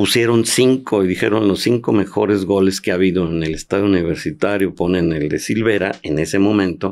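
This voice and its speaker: This man has a very deep, low pitch and ordinary pitch variation. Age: 70s. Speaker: former professional footballer. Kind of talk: interview conversation.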